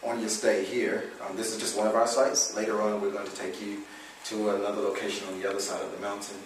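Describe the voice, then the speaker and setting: Speaking very fast, a man with an American accent uses a fairly low pitch. The recording carries noticeable background noise and audible room echo. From US Midwest, Chicago. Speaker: mission director. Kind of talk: welcome speech.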